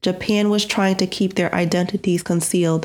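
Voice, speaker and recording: Solemn in tone, a woman with a fairly low voice speaks in a monotone, flat intonation in a very clean recording with a silent background. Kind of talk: true-crime narration, scripted. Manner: solemn, measured, grave, even-toned; formal, factual, detached.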